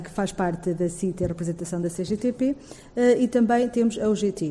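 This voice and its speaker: Noticeable background noise sits behind a woman's medium-pitched voice. She keeps a moderate pace with ordinary pitch variation. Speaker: head of a public equality commission. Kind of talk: formal panel presentation.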